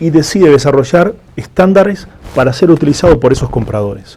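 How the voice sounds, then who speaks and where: A man with an Argentine accent, at a fairly quick pace and with lively intonation, over noticeable background noise. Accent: Argentine accent, noted by himself. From Argentina. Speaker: food safety certification executive. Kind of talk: interview.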